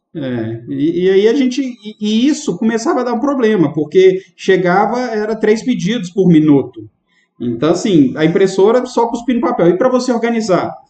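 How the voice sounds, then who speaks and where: At a moderate pace, a man with a high pitch and a dark, mellow tone speaks with lively intonation. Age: 30s. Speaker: restaurant owner, trade association president. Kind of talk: casual interview chat.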